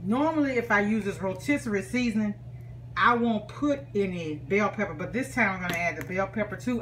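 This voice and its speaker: A woman with an American accent and medium pitch at a fairly quick pace, very wide pitch swings, and noticeable background noise. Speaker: home cook. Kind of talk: cooking tutorial. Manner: fast; casual.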